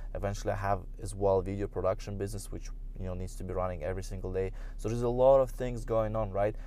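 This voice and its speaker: A man's very fast speech with a Russian accent, with audible room echo. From Russia, St. Petersburg. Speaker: podcaster, business and social media coach. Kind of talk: casual solo talk. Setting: in a car.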